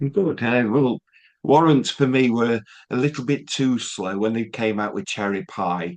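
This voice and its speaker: Speaking at a fairly slow pace, a man with a Yorkshire accent uses lively intonation. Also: medium pitch for a man. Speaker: music interviewer. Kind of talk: interview.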